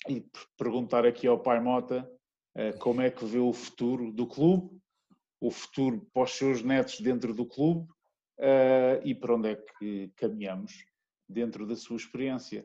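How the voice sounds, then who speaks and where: Speaking at a fairly slow pace, a man leaves long, frequent pauses. His voice sits at a medium pitch with a dark, mellow tone. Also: ordinary pitch variation. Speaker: guest's son, former rugby coach. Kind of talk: interview.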